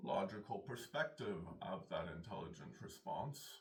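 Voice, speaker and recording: A man's fairly low voice comes across as somewhat breathy. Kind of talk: philosophical monologue. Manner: halting.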